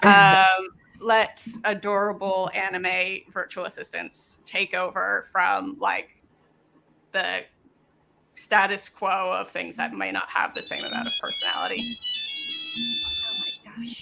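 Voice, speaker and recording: A woman speaks at a very slow pace. She has a slight Canadian accent. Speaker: maker, project creator. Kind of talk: interview. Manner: halting, many fillers.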